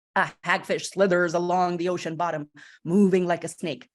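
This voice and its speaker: Over a quiet background, a woman speaks in an animated tone at a moderate pace. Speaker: literacy educator. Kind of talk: conference talk to teachers.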